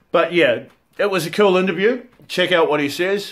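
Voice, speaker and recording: A man with a New Zealand accent. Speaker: cosplay interviewer and channel host. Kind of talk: casual chat. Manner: loud.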